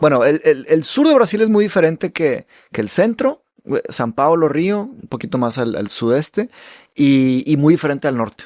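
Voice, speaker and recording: Swinging his fairly high pitch very widely, a man speaks at a moderate pace in a very clean recording with a silent background and a dry, close sound with no echo. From Brazil. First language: Portuguese (speaking Spanish). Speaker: podcast host and author. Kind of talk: casual conversation.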